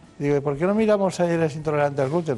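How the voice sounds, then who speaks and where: The man's voice is fairly high. Its pitch varies in an ordinary way. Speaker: radio host. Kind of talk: radio health show interview. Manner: formal, courteous.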